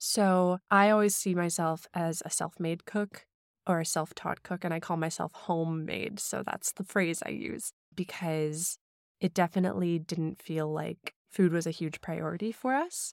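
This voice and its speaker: Heard in a very clean recording with a silent background and a dry, close sound with no echo, a woman speaks with an American accent in an ordinary speaking voice. Her pitch is fairly low, her pace fairly slow, and her intonation fairly even. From US Midwest, St. Louis, Missouri (some childhood years in Hong Kong). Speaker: recipe developer and social media food creator. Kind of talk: casual interview. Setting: studio.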